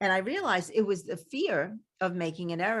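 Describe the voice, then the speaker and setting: A woman with a Brooklyn accent speaks at medium pitch and a moderate pace, with lively intonation. The recording is very clean, with a silent background. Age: 70s. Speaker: podcast host. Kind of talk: interview conversation. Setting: podcast.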